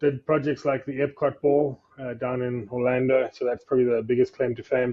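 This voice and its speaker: A man with a South African accent, medium in pitch, flat and monotone, at a fairly quick pace. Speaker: facade company executive. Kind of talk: podcast interview. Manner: hesitant, many fillers.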